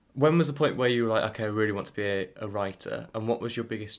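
A man with a fairly low pitch and ordinary pitch variation at a very fast pace, on a very clean recording with a silent background. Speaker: podcast host interviewer. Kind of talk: interview.

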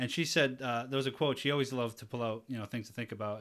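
Man with a New England accent, very fast, with fairly even intonation, on a very clean recording with a silent background. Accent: New England American. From Taunton, Massachusetts. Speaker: podcast host. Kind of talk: casual chat.

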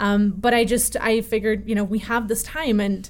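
A woman with an American accent speaks in a somewhat breathy voice, her intonation fairly even. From Connecticut, US (early childhood in Russia). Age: 20s. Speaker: violinist and festival co-director. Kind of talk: interview conversation.

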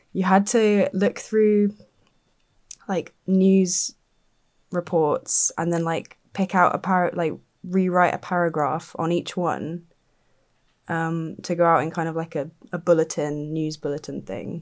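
A woman's fairly low voice with a southern English accent, fairly even intonation and long, frequent pauses, on a very clean recording with a silent background. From southern England (Dorset). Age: 20s. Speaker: think tank researcher. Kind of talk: casual interview.

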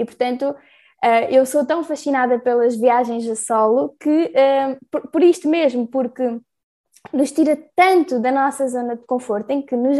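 A woman with a high voice speaks fairly slowly, her pitch varying in an ordinary way. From Portugal. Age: 20s. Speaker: solo travel project creator. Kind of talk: casual interview.

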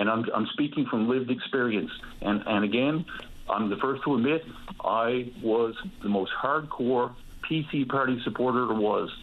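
A man with a Newfoundland accent, medium pitch, fairly even intonation, very even loudness and a moderate pace. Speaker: caller. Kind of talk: call-in opinion. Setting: phone call.

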